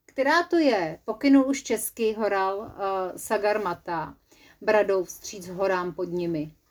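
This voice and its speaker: Speaking at a fairly slow pace, a woman uses a medium pitch, lively intonation and a playful, animated tone. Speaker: storyteller. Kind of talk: children's story narration. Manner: playful, animated, lively.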